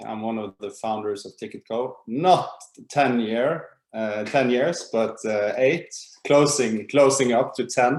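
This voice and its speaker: Speaking at a fairly slow pace, a man with an unremarkable speaking voice keeps a medium pitch with ordinary variation. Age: 30s. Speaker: startup co-founder. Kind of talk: webinar presentation.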